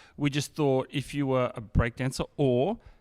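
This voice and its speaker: The recording is very clean, and the background is silent. An Australian accent marks the speech. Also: man. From Sydney, Australia (Bankstown/Sefton). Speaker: hip hop artist. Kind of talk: casual chat.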